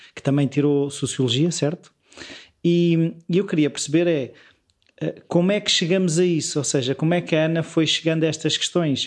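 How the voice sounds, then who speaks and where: A man with a plain, everyday voice, fairly high in pitch, at a moderate pace and with ordinary pitch variation. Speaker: podcast host. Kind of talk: interview conversation.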